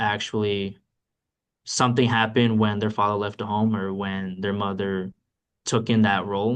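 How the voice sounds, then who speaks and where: This man has a normal speaking voice, pitched fairly low, and speaks at a moderate pace. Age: 20s. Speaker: guest speaker on self-fathering. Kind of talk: casual discussion on video call. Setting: group call.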